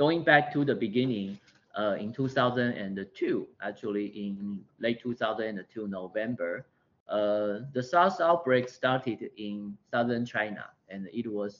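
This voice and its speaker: A man speaks at a fairly slow pace in a Taiwanese accent. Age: 40s. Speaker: public health physician. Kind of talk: lecture. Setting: video call. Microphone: video call.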